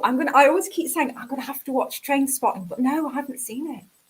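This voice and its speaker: In a Northern English accent, a woman with a high pitch talks at a very fast pace with ordinary pitch variation. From northern England. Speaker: guest. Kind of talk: casual chat.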